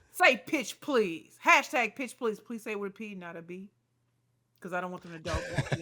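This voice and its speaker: At a moderate pace, a woman speaks at medium pitch in an animated tone with lively intonation and big swings in loudness. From US Midwest (inner city Detroit). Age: 40s. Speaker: pitch coach. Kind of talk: casual interview chat.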